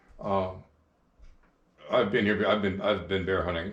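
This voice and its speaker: Audible room echo surrounds a man who speaks at a fairly quick pace in a very deep, low voice. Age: 70s. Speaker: hunting video interviewer. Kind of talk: interview. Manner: halting.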